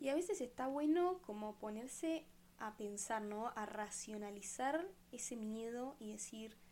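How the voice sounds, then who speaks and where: A woman with a Rioplatense accent speaks at a fairly slow pace with lively intonation and a fairly high pitch. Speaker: podcast host. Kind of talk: casual monologue.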